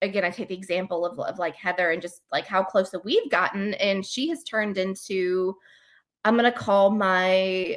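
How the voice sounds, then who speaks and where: Medium pitch from a woman with an American accent, moderate in pace, with ordinary pitch variation, on a very clean recording with a silent background. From US South. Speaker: podcast co-host, travel agent. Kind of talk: casual chat. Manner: animated.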